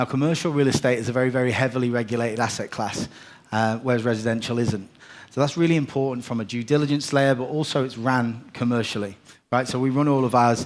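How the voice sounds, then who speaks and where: Keeping his intonation fairly even, a man of medium pitch speaks at a very fast pace. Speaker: property investment executive. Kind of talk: conference presentation. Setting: stage with live audience.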